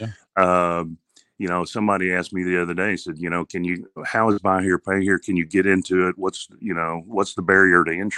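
A man speaks in a monotone with flat intonation, his bright, sharp tone sitting on a very deep, low pitch against a quiet background. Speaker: car dealer. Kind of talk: casual interview. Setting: remote call.

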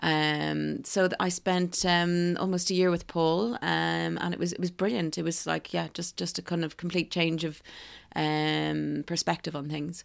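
Against a quiet background, a woman speaks at a fairly slow pace in an Irish accent. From Ireland, County Kildare. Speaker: restaurant co-founder. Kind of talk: interview conversation. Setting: at home on a houseboat.

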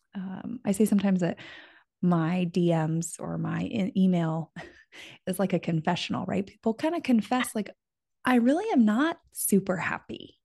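Somewhat breathy and dark, mellow in tone, a woman speaks with an American accent. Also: medium pitch for a woman, lively intonation, moderate pace, quiet background. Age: 30s. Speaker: friendship author and podcaster. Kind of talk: interview.

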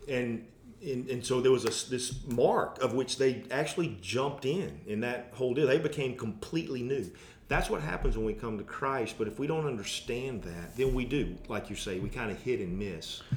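Room echo is audible as a man with a medium pitch speaks at a moderate pace in a somewhat breathy voice, with ordinary pitch variation. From US South. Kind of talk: casual chat.

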